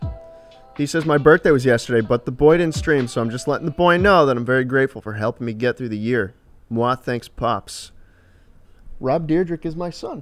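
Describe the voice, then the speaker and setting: Faint music plays behind a man who talks fairly quickly at a medium pitch with ordinary pitch variation. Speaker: livestreamer; game streamer. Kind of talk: casual live stream chat. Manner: animated. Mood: joking, relaxed. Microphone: studio mic.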